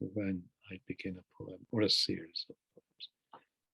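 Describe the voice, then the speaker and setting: A man's voice comes through dry and close, with no echo. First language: Hungarian. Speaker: poet. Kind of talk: interview. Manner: reflective, halting.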